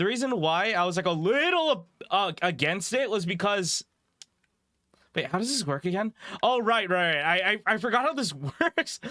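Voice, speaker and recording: On a very clean recording with a silent background, a man speaks at a moderate pace in a raised, projected voice, high-pitched and bright, sharp in tone, with very wide pitch swings. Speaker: vtuber streamer. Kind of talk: gaming livestream. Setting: livestream. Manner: casual, halting.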